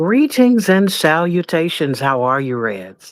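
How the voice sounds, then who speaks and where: Someone puts on a character voice at middle pitch. The pace is fairly slow. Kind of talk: formal, stilted greeting.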